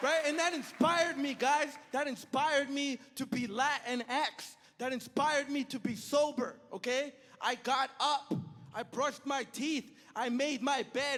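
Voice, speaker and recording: A man speaks with an extremely high pitch and a bright, sharp tone. His pace is fairly slow and his intonation fairly even. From El Salvador. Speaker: stand-up comedian. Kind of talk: stand-up. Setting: stage with audience.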